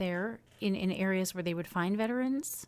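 A woman's medium-pitched, ordinary speaking voice, moving at a moderate pace and showing ordinary pitch variation. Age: 40s. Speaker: podcast host. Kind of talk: scripted intro; interview.

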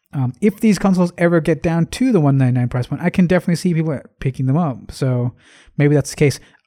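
The speech runs at a very fast pace. The recording is very clean, with a silent background. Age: late 20s. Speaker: podcast host. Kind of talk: casual solo commentary.

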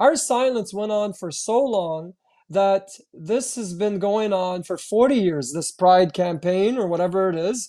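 A man with a Canadian accent and a dark, mellow tone, high-pitched for a man, at a fairly slow pace with ordinary pitch variation. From Canada, Ottawa, Ontario. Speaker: activist and march organizer. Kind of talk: interview. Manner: animated.

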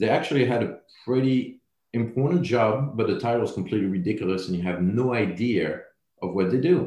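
In a French accent, the speaker goes at a fairly quick pace with lively intonation, a dark, mellow tone and a somewhat breathy sound. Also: man, medium pitch for a man. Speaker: building products sales representative. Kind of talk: interview podcast.

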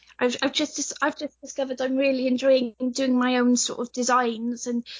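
This woman speaks in a Welsh accent at a moderate pace. Her pitch is high. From Wales. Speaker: cosplayer. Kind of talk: casual interview chat. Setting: video or phone call.

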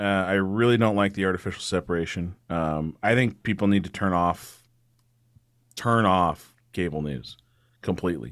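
A man with an American accent speaks in an ordinary speaking voice, fairly low in pitch, with lively intonation at a moderate pace on a very clean recording with a silent background. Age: 30s. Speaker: attorney and political podcast host. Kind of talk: casual interview.

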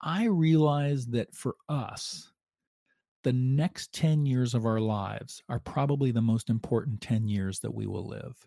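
A man talks at a fairly slow pace in a medium pitch with a dark, mellow tone. The sound is dry and close with no echo, on a very clean recording with a silent background. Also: ordinary pitch variation. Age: 50s. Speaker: journalist. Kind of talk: casual chat.

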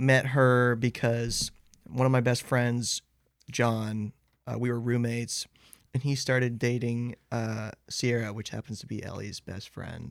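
A man with an American accent, medium pitch, monotone, flat intonation, a fairly slow pace and big swings in loudness, in a very clean recording with a silent background. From Athens, Georgia, US. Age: 20s. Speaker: band singer and guitarist. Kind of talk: casual interview chat.

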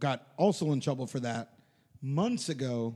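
A man's dark, mellow voice at a fairly slow pace, with lively intonation. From Puerto Rico. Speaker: podcast co-host. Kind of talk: casual chat.

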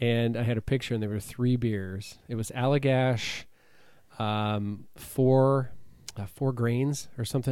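A man speaks in a plain, everyday voice of medium pitch. His pace is fairly slow. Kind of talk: casual radio-DJ patter, a chatty podcast intro. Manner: upbeat, bantering, easygoing.

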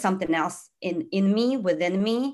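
Recorded very cleanly against a silent background, a woman speaks with a fairly low pitch. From outside the US, immigrant. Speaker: life coach, former finance professional. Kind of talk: interview.

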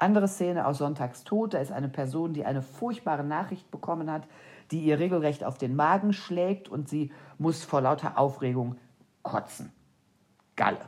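At a moderate pace, a woman with a very deep, low pitch speaks with ordinary pitch variation. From Germany, East Westphalia. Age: 50s. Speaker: crime novelist. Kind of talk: solo podcast answering listener questions. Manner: unscripted, spontaneous.

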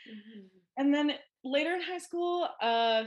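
Lively in intonation, a woman with a Canadian accent speaks at a moderate pace in a normal speaking voice. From Ontario, Canada (Ajax, near Toronto). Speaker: social worker and therapist. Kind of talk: casual interview chat.

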